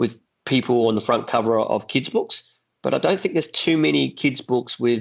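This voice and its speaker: With an Australian accent, the speaker talks with vocal fry. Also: man. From Adelaide, South Australia. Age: 40s. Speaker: actor and children's author. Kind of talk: interview. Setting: remote call.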